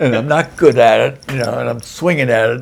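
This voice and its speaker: A man with an American accent speaks at a moderate pace and medium pitch. Vocal fry runs through his voice. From USA. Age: 80s+. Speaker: war veteran. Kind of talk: casual chat.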